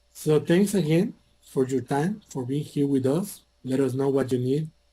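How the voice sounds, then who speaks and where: Speaking at a moderate pace with a non-native accent, a man with a medium-pitched voice and a dark, mellow, somewhat breathy tone shows ordinary pitch variation. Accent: non-native English speaker. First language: Spanish. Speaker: IT hardware salesperson. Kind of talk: sales presentation. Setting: virtual conference session.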